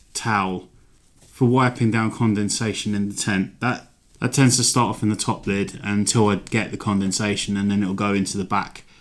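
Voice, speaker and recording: The recording is very clean, with a silent background. A man with an English accent speaks at a moderate pace in a fairly low pitch with fairly even intonation. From London, England. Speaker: hiking vlogger. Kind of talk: gear tutorial. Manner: casual, rambling with fillers.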